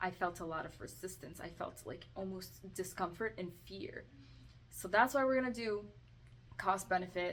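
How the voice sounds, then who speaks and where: A woman talks at a moderate pace and medium pitch. Her pitch variation is ordinary. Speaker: self-help video creator. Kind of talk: tutorial. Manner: halting; soft-spoken.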